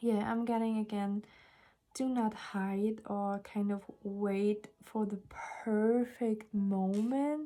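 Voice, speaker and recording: Here a woman speaks with a non-native accent at a fairly high pitch. Her pace is very slow and her intonation fairly even. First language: not English. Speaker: tarot reader. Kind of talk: tarot reading monologue. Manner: hesitant, many fillers.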